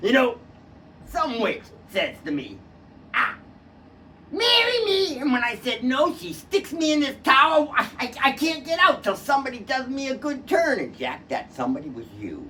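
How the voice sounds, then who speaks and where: A man's put-on character voice, extremely high-pitched, at a moderate pace. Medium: stage play. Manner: folksy, repeats the listener's name.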